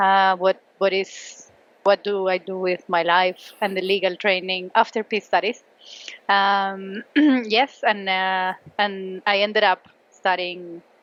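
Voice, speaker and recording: The speaker has a Spanish accent and talks at a very slow pace. Intonation stays fairly even. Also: woman, medium pitch for a woman. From Colombia. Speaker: law professor. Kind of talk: casual interview. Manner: hesitant, many fillers.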